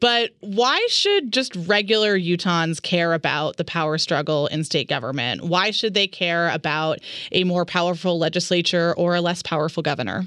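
At a moderate pace and fairly low pitch, a woman speaks with ordinary pitch variation, very even loudness and hardly any pauses. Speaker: radio host. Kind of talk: radio interview. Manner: loud talker.

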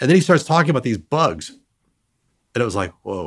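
A man's pitch swings very widely, with vocal fry in his voice. The recording is very clean, with a silent background. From US Midwest. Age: 60s. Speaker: entomology professor. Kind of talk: interview. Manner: halting.

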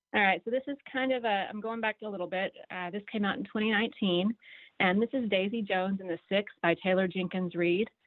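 Here a woman speaks at a fairly quick pace with a normal speaking voice. Her pitch is medium. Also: ordinary pitch variation. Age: middle-aged. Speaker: book recommender. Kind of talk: casual radio chat.

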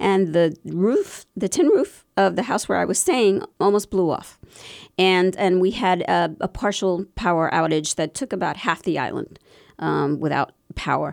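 A woman with an American accent speaks at a fairly slow pace. The recording is very clean and the background silent. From Pennsylvania, Bethlehem area (born South Bronx). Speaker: environmental lawyer and activist. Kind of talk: interview. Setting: studio.

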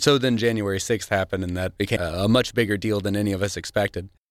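The speaker has a Missouri accent. The intonation is fairly even. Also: man. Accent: Midwestern American (Missouri). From Missouri, Cape Girardeau County. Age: 30s. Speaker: student and navy veteran. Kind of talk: radio interview.

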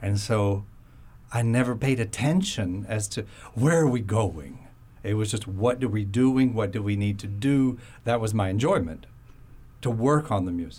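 A man's fairly low, somewhat breathy voice at a moderate pace, with audible room echo. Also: ordinary pitch variation. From Florida. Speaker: concert pianist. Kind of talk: radio interview. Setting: studio.

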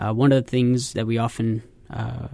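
The man has a plain, everyday voice at medium pitch, with fairly even intonation. He speaks at a moderate pace against a quiet background. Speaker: wound care physician. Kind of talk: radio health interview. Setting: studio.

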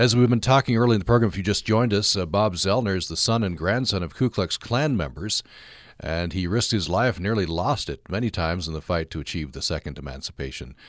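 Very fast and lively in intonation, a man speaks in a very deep, low voice with vocal fry. The recording is very clean, with a silent background. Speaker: radio host. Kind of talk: radio interview. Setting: studio.

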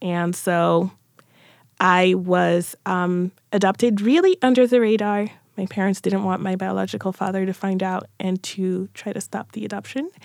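This very clean recording has a silent background. A woman talks at a moderate pace in an ordinary speaking voice. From France, also England and US; born in Cameroon. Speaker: author and lawyer. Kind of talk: interview conversation. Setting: radio studio.

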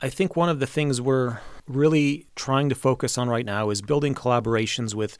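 In an ordinary speaking voice with an American accent, the speaker keeps a moderate pace and ordinary pitch variation on a very clean recording with a silent background. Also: man. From Mexico and US, Polish-born. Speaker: orchestra conductor. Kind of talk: interview.

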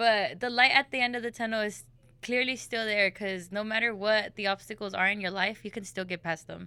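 Fairly quick and fairly high in pitch, a woman talks with an American accent. She has a plain, everyday voice and fairly even intonation. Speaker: college student.

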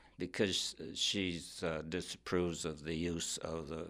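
At a moderate pace, a man with a very deep, low pitch speaks in a bright, sharp tone with vocal fry and fairly even intonation. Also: very clean recording, silent background. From Wyoming. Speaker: novelist and former professor. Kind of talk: interview.

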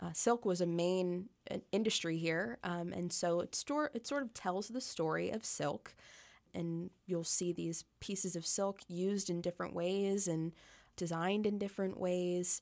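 A woman with an American accent speaks at a fairly slow pace in an unremarkable speaking voice, with fairly low pitch and ordinary pitch variation. The recording is very clean, with a silent background. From Pennsylvania, US. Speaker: tourism content director. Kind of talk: casual interview. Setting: radio studio.

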